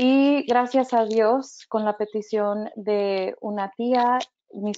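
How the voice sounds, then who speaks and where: A woman's medium-pitched voice holds a fairly even intonation. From Mexico-born, raised in the US. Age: 30s. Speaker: religious education director. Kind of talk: personal testimony. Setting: webinar. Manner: hesitant with many fillers.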